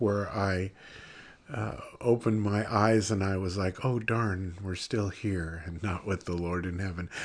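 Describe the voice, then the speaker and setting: Against a quiet background, a man uses a normal speaking voice at a fairly slow pace with ordinary pitch variation. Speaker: devotional show host. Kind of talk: devotional talk and closing prayer. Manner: warm, conversational, laughs often.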